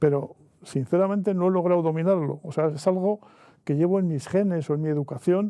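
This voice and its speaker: Talking at a fairly quick pace, a man uses a high pitch and fairly even intonation. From northern Spain, Miranda de Ebro. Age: 70s. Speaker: author. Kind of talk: interview.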